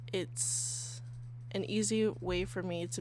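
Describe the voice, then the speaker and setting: The recording has audible room echo. The speaker is a woman. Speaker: podcast host. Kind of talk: casual solo podcast. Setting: sitting on bed, handheld mic.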